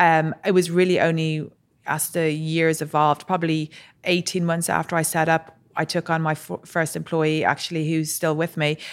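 In a very clean recording with a silent background, a woman with an Irish accent talks at a moderate pace in a fairly low pitch with monotone, flat intonation. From Ireland. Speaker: entrepreneur, drinks brand co-founder. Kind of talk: interview. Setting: studio.

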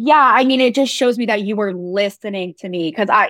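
A woman speaks in a plain, everyday voice at a fairly high pitch with ordinary pitch variation. The sound is dry and close, with no echo. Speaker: co-host. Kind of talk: casual conversation.

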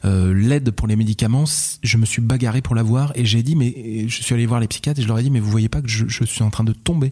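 Somewhat breathy, a man speaks in a dark, mellow tone at a medium pitch with fairly even intonation. His pace is very fast, and the recording is very clean with a silent background. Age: 30s. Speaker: father sharing his story. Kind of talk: personal testimony interview. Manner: halting, repeats words; articulate storyteller.

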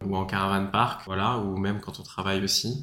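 A man talks at a fairly low pitch. His tone is bright and sharp. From France, Paris. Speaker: student, former fruit picker. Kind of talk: casual interview.

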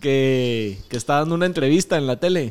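Speaking fairly quickly with a Guatemalan accent, a man uses lively intonation. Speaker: podcast host. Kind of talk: casual chat.

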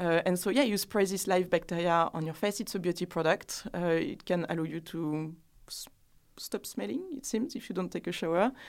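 A woman speaks in a strong French accent at a moderate pace. Her pitch is fairly low and her intonation lively. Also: very clean recording, silent background. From France. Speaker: skincare brand founder. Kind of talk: casual interview.

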